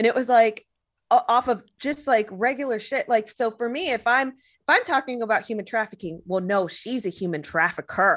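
A woman's normal speaking voice with an American accent, fairly high pitch, lively intonation and a moderate pace, against a quiet background. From Texas, Mexican American family. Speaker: anti-trafficking activist. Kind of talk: casual interview chat.

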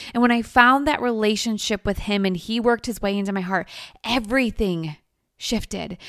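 Fairly high in pitch, a woman speaks in an unremarkable speaking voice at a moderate pace. Her intonation is fairly even, and the recording is very clean with a silent background. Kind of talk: guided meditation. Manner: warm, inviting, soft-spoken.

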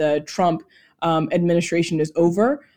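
With an unremarkable speaking voice and an American accent, a woman talks at a moderate pace and fairly low pitch with fairly even intonation, recorded very cleanly over a silent background. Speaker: political consultant. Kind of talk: interview.

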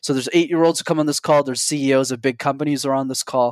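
A man speaks in a normal speaking voice at a medium pitch with fairly even intonation. The recording is very clean and silent behind him, with a dry, close sound and no echo. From Montreal, Canada. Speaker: public speaking coach. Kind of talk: interview.

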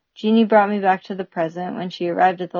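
A woman's unremarkable speaking voice, fairly even in intonation, at a fairly quick pace. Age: 30s. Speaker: climber and podcast co-founder. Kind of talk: reading aloud.

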